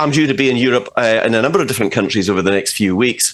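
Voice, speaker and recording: A man speaks in a Scottish accent. His pace is very fast. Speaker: political commentator. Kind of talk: interview. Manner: animated.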